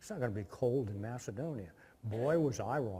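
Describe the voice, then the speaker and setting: A man with an American accent speaks at a moderate pace. His voice is somewhat breathy, with a dark, mellow tone. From US Midwest, Indiana. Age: 60s. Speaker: guest lecturer, former Peace Corps volunteer. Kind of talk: lecture. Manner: casual storytelling with filler words.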